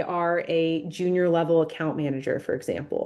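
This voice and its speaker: A woman speaks in a dark, mellow tone against a quiet background. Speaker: marketing agency president. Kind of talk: webinar presentation. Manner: fast.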